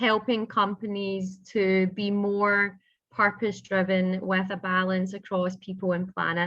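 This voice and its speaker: Someone with a Scottish accent talks at a fairly slow pace. The intonation stays monotone and flat. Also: woman, medium pitch for a woman. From Scotland. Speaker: business founder and consultant. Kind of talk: interview.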